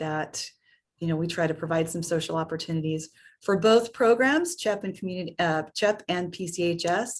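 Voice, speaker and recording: This woman's voice sits fairly low in pitch, with fairly even intonation. It is a plain, everyday voice. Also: quiet background. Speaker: program administrator presenting to parents. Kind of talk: webinar presentation.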